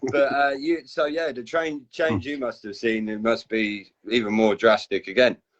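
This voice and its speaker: With a southern English accent, a man speaks at a moderate pace and medium pitch, with ordinary pitch variation and hardly any pauses. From southern England, Basingstoke. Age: 30s. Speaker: community group host. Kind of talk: casual chat.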